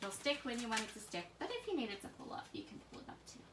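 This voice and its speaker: Over noticeable background noise, a soft-spoken woman with an American accent talks at a fairly quick pace and fairly high pitch, her pitch swinging very widely. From US, Pennsylvania then various places. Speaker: scrapbooking instructor. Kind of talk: live craft tutorial. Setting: Facebook live stream.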